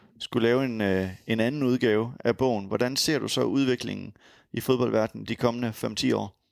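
An unremarkable speaking voice from a man at medium pitch, with ordinary pitch variation, a fairly slow pace, a dry, close sound with no echo, and a very clean recording with a silent background. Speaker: podcast host. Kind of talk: interview. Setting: recorded at guest's home.

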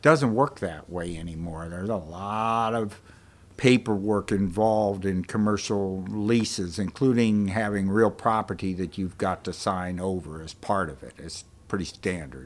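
In a very clean recording with a silent background, a man with a fairly low pitch uses a plain, everyday voice with ordinary pitch variation and big swings in loudness. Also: moderate pace. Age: 60s. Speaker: bookstore owner. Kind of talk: interview. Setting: bookstore stage.

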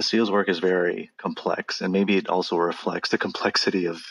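In a dry, close sound with no echo, a man with an American accent talks at a fairly quick pace, very deep and low in pitch, with monotone, flat intonation. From Los Angeles area, California. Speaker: English professor. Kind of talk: casual interview.

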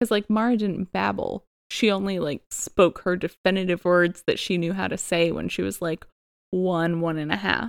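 A woman's normal speaking voice, medium in pitch, with fairly even intonation and a moderate pace. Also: dry, close sound with no echo. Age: 30s. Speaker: podcast host, stay-at-home mom. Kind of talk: casual chat.

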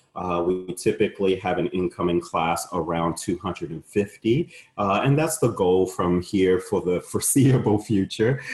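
Very deep and somewhat breathy, a man speaks at a fairly slow pace with hardly any pauses and ordinary pitch variation. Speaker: law school admissions dean. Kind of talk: webinar Q&A, conversational. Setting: online webinar.

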